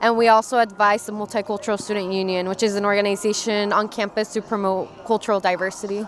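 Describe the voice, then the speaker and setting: A woman talks at a very fast pace with a monotone, flat intonation. The sound is dry with no echo, over light background noise. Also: hardly any pauses. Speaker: university multicultural programs staff member. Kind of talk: halftime interview, explaining programs. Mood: warm, upbeat, smiling. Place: stadium. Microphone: handheld.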